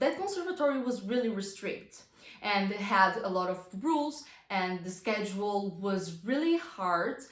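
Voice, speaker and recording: Someone with a non-native accent speaks at a fairly slow pace with lively intonation, and audible room echo surrounds the voice. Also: woman. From non-English-speaking country. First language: not English. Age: young. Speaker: vlogger. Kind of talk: casual talk to camera. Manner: halting.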